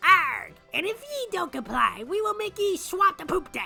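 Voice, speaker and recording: A man's put-on character voice at an extremely high pitch, moderate in pace, over faint background music. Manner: threatening, growling, theatrical.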